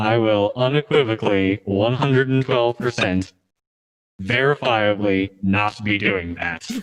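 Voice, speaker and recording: This put-on character voice sounds robotic, low-pitched and fairly slow. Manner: pompous, overly precise.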